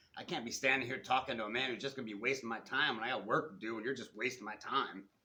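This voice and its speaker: A man's put-on character voice, raspy and rumbling, at a medium pitch and very fast pace, with fairly even intonation. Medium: read story. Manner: loud, repetitive, grumbling.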